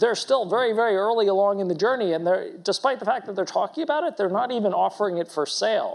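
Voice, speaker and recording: Loud and high-pitched, a man speaks in a very clean recording with a silent background. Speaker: company executive. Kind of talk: panel discussion at investor conference.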